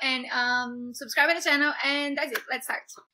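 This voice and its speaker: Her voice is high-pitched, raised and projected, as this woman speaks at a fairly quick pace. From Brazil, Minas Gerais. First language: Portuguese. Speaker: YouTuber. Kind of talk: casual vlog talk. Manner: halting, many fillers.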